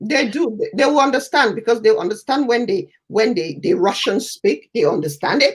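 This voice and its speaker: A woman with a fairly high pitch talks at a moderate pace with hardly any pauses, her pitch swinging very widely. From Cameroon. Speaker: talk show co-host. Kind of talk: casual chat.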